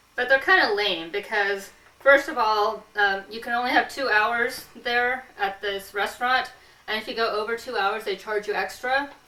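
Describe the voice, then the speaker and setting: A woman with an American accent and a fairly high pitch speaks at a moderate pace with ordinary pitch variation, with noticeable background noise behind her. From US West Coast, Santa Clara County, California. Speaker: comedic show host. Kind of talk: comedic casual chat.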